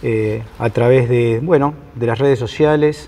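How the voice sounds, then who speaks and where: The speaker has a Rioplatense accent. Pitch variation is ordinary. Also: man. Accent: Argentine Spanish (rioplatense). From Argentina. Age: 60s. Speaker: sociologist and professor. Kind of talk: lecture. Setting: conference hall with audience. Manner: halting, many fillers.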